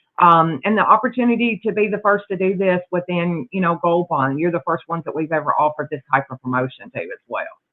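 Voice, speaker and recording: With a Southern US accent, a woman with a fairly low pitch talks very fast, with lively intonation and hardly any pauses. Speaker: sales executive. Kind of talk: sales presentation.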